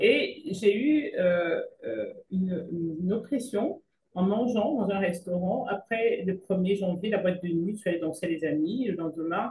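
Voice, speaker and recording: Somewhat breathy at a medium pitch, a woman speaks at a fairly slow pace with lively intonation. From Cameroon. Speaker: physician. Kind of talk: interview.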